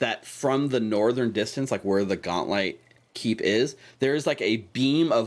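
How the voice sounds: Someone reads in a natural voice. The pitch rises and falls an ordinary amount.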